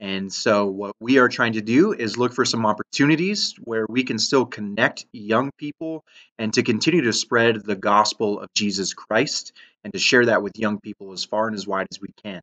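A man talks at a moderate pace with ordinary pitch variation over a quiet background. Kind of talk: announcement to community. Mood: earnest, apologetic but upbeat. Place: home room. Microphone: webcam.

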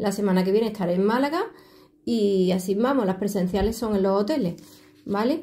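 Her tone is dark and mellow. The woman speaks at a fairly quick pace. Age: 50s. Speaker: tarot reader. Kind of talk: video tutorial with self-promotion. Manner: animated. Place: home room. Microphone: phone near.

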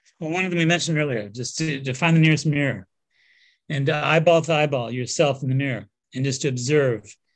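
A man with an unremarkable speaking voice and fairly high pitch talks at a fairly quick pace with ordinary pitch variation, on a very clean recording with a silent background. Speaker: nutritional therapist and energy healer. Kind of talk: guided meditation. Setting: interview.

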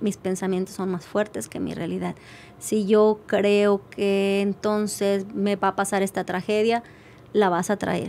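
A woman speaks in a monotone, flat intonation at a fairly slow pace. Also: medium pitch for a woman. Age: 50s. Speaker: life coach; podcast guest. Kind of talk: interview. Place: studio. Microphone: studio mic.

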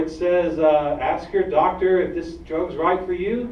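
An American accent with ordinary pitch variation, audible room echo and light background noise. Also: man. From Georgia, US. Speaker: activist group director; guest. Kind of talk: public talk. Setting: stage with audience. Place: hall. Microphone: camera far.

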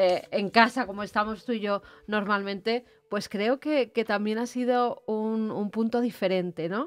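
This woman's pitch rises and falls in an ordinary way. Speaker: co-host. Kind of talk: live show chat. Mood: cheerful, laughing. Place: home room. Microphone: studio mic.

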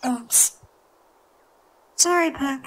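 The voice sounds female and high-pitched. It is a cartoonish character voice. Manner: friendly, easygoing.

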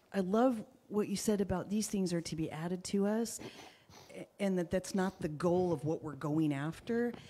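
The woman's tone is dark and mellow. She speaks at a moderate pace with ordinary pitch variation. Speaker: congregant. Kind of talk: prayer. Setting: church.

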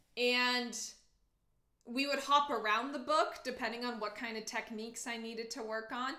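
Against a quiet background with audible room echo, a woman speaks at a moderate pace in a high, bright, sharp voice with an animated tone. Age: 20s. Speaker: cello teacher; teacher. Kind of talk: livestream Q&A. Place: home room. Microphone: webcam.

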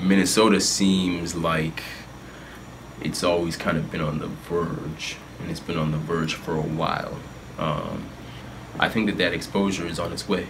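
A man with an American accent speaks at a very deep, low pitch with fairly even intonation. He takes long, frequent pauses over noticeable background noise. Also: moderate pace. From Northern Virginia, US. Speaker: hip-hop artist. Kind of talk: interview. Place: home room.

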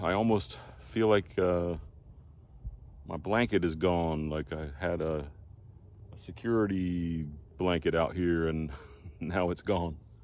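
Recorded dry with no echo, a man speaks at a very deep, low pitch with fairly even intonation. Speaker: homesteader vlogger. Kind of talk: casual vlog chat. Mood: relaxed, slightly wistful. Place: open country. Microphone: phone near.

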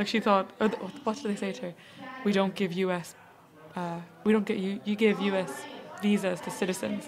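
A woman with an Irish accent speaks at a medium pitch and a moderate pace, with long, frequent pauses. Faint music plays in the background. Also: ordinary pitch variation. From Ireland. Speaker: fashion blogger. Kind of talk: casual chat. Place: studio. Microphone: studio mic.

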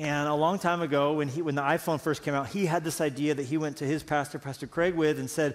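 A man speaks with fairly even intonation. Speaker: pastor. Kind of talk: sermon. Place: stage.

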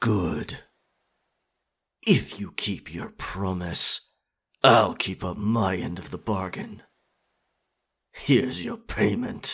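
A man speaks in a put-on character voice at a fairly low pitch, raspy and very slow. He leaves long, frequent pauses. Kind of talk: ASMR roleplay. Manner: confident, dominant.

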